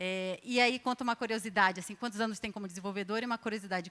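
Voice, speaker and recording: A woman talks at a very fast pace in a medium pitch. Her pitch varies in an ordinary way. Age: 40s. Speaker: panel moderator, programming initiative founder. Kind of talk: moderated panel discussion. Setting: stage with live audience.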